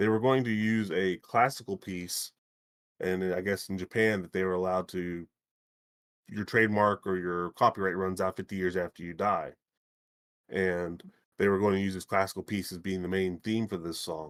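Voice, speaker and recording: A man with a very deep, low pitch talks at a moderate pace with fairly even intonation, his voice dry and close with no echo on a very clean recording with a silent background. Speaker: gaming podcast host. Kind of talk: casual chat. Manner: halting, stuttering.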